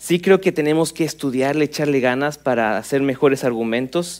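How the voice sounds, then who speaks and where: A plain, everyday voice moves at a moderate pace. Its intonation is lively. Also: man. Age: 30s. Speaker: pastor. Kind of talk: sermon.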